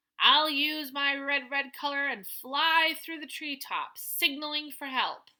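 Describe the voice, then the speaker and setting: Using a put-on character voice, a woman projects loudly at a high pitch, speaking fairly slowly in a flat monotone with hardly any pauses. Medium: read story. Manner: announcing, eager.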